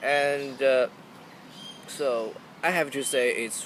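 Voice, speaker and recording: A man speaks against noticeable background noise. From China. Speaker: student. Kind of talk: job interview practice. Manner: halting.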